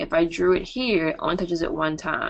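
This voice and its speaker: Here is a woman with a fairly low pitch and an ordinary speaking voice. She talks at a moderate pace. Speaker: math professor. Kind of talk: online review session lecture.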